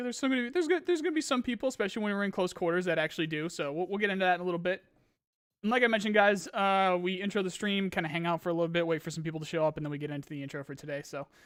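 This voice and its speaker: On a very clean recording with a silent background, a man speaks very fast at a high pitch. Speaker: gaming streamer. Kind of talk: live stream chat Q&A. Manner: halting; stutter.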